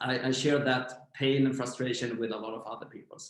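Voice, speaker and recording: At a medium pitch, a man talks at a fairly quick pace. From Sweden, Växjö. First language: Swedish. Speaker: startup founder. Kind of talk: interview.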